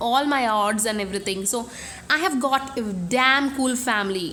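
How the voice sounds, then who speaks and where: With a Bengali accent and a high pitch, a woman speaks at a moderate pace with ordinary pitch variation, amid audible room echo and noticeable background noise. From India, Bengali. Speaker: beauty vlogger. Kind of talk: casual vlog. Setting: home room.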